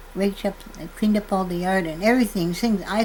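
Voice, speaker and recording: Fairly even intonation marks this woman's speech. She has a medium pitch and an Upper Midwest accent. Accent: Upper Midwest rural American. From North Dakota. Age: 80s+. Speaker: farmer. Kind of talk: testimony. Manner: halting.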